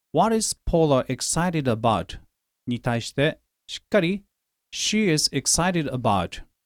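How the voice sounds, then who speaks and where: A man with a Japanese accent speaks at a fairly quick pace with very wide pitch swings, in a very clean recording with a silent background and a dry, close sound with no echo. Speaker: English teacher and podcast host. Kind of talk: language-lesson tutorial.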